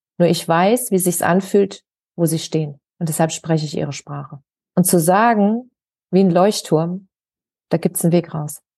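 Pausing long and often, a woman talks at a moderate pace in a fairly low voice with a dark, mellow tone and ordinary pitch variation. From Germany, Hesse (Wiesbaden). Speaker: author and hypnosis coach. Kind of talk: interview.

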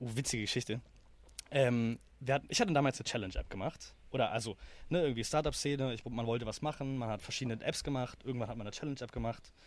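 A man's very fast speech at medium pitch, with ordinary pitch variation. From Germany, Berlin. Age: 20s. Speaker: startup founder. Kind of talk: interview. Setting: in person recording.

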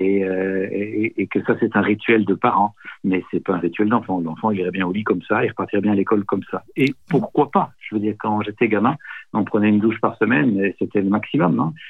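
A man with a normal speaking voice, fairly low pitch, ordinary pitch variation and a fairly quick pace. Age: 60s. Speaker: nonviolent communication trainer. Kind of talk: interview.

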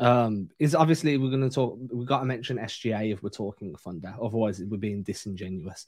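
Here a man with an English accent talks at a fairly quick pace, at medium pitch with ordinary pitch variation. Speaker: basketball podcast co-host. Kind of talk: casual chat.

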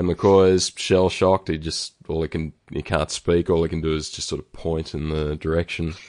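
In an Australian accent, a man with a very deep, low pitch speaks at a moderate pace in a monotone, flat intonation with hardly any pauses, in a dry, close sound with no echo and a quiet background. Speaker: podcast host. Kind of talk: casual chat. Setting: remote call. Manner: hesitant, many ums and ahs.

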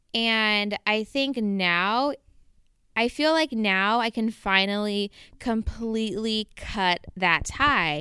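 In a Southern California accent, a woman with a fairly high pitch and ordinary pitch variation speaks at a very slow pace, her loudness very even, in a very clean recording with a dry, close sound, no echo, and a silent background. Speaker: podcast host. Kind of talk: personal monologue. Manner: casual, conversational.

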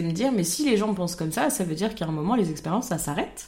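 This woman has an ordinary speaking voice at a medium pitch. Her intonation is lively. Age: 20s. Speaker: podcast co-host. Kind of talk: casual chat.

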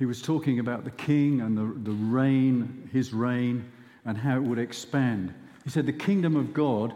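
Pitch moves with ordinary variation. The voice is an unforced reading voice.

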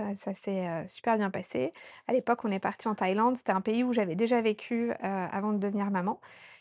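With typical pitch movement, a woman talks fairly quickly. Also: medium pitch for a woman. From France, Haute-Savoie (Annecy). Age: 30s. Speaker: doula and women's retreat organizer. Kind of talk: interview. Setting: on location in Sri Lanka. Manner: hesitant with fillers.

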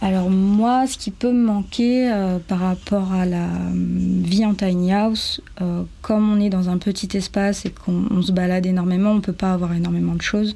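A woman's unremarkable speaking voice, medium in pitch, with fairly even intonation at a moderate pace. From French Guiana. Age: 20s. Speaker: tiny house dweller, 3D artist and illustrator. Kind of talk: testimony.

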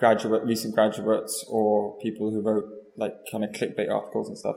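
Background noise is clearly noticeable. The speaker is a man. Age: young. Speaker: artist. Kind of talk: interview. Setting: gallery. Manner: halting, many fillers.

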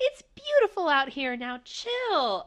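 A woman puts on a character voice with an extremely high pitch. Her pitch swings very widely as she speaks at a fairly slow pace. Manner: manic, exaggerated.

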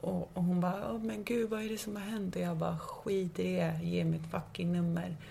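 A woman at a moderate pace with hardly any pauses, with audible room echo and noticeable background noise. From Stockholm suburbs, Sweden. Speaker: podcast host. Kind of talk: casual chat.

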